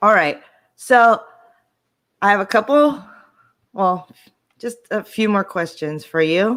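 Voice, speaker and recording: A woman speaks very slowly at a medium pitch, with lively intonation. Her pauses are long and frequent. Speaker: vocal coach and show host. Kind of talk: casual interview chat.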